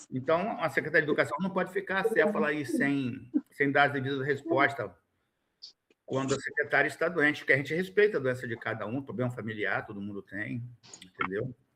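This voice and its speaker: A man speaks at a fairly quick pace in a fairly high voice. His tone is bright and sharp, with lively intonation. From Rio de Janeiro state (Niterói / São Gonçalo). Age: 60s. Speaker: education funding council member. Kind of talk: formal meeting discussion. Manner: emphatic, animated.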